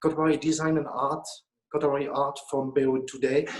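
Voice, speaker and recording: A man with a French accent speaks in a fairly high pitch with monotone, flat intonation. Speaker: auction house director. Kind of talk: casual chat. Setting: auction house. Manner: halting.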